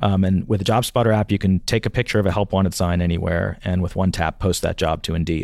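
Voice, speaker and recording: The recording is very clean, with a silent background, as a man talks in an unremarkable speaking voice. His pitch is fairly low and his intonation fairly even. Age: 50s. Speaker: CEO of a job search company. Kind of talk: interview.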